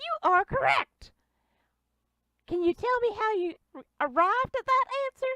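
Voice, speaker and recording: Squeaky and extremely high-pitched, a woman performs a put-on character voice. Her speech has long, frequent pauses. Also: moderate pace. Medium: actual play. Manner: odd, folksy phrasing.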